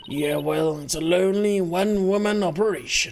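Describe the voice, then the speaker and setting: A hissing, put-on character voice at a moderate pace. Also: man, high pitch for a man. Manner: sly, hissing.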